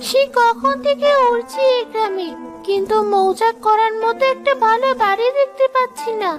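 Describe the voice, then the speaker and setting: A female-sounding voice performs a cartoonish character at an extremely high pitch. Clear music plays in the background. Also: fairly slow pace. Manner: calm, self-assured.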